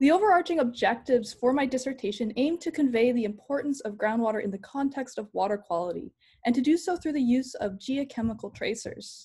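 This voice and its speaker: A woman's high-pitched voice, dark and mellow in tone, at a fairly quick pace over a quiet background. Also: lively intonation, hardly any pauses. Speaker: PhD candidate. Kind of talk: lecture. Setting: video call. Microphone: video call.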